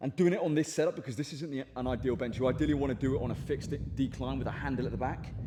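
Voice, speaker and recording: The speech comes at a very fast pace with hardly any pauses and ordinary pitch variation, over noticeable background noise. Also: man, medium pitch for a man. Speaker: fitness influencer. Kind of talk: gym vlog. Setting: gym. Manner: halting, stuttering.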